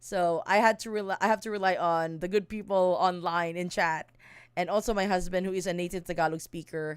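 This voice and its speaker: Speaking at a fairly quick pace, a woman with a medium pitch keeps a fairly even intonation on a very clean recording with a silent background. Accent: Visayan Filipino. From Mindanao, Philippines. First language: Bisaya (Cebuano). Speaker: streamer and song translator. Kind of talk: casual live stream explanation. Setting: live stream. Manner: halting, many fillers and self-corrections.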